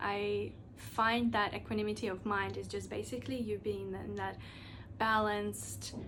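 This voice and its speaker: Audible room echo surrounds this recording. A woman talks through it at a moderate pace. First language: not English (English is third language). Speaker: podcast host. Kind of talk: solo podcast monologue. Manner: casual, filler-heavy with restarts.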